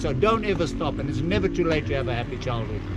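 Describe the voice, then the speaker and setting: Through noticeable background noise and audible room echo, a man speaks at a very fast pace. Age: 70s. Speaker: motocross instructor. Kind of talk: casual chat. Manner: animated.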